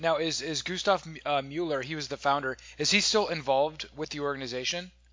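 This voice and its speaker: A man talks fairly quickly with hardly any pauses. His pitch is fairly high, with ordinary pitch variation. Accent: American. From United States. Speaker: podcast host. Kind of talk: interview. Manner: halting, many fillers and repetitions.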